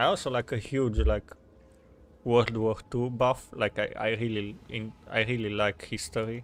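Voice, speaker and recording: A man with a Romanian accent at a fairly slow pace, with fairly even intonation. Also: medium pitch for a man. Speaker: video game streamer. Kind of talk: casual live-stream chat. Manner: halting, with many fillers and restarts.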